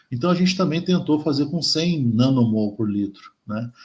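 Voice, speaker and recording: Somewhat breathy, a man speaks with a fairly high pitch. His intonation is lively. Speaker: chemistry professor. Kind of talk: lecture. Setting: colloquium talk. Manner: slow; halting, many fillers.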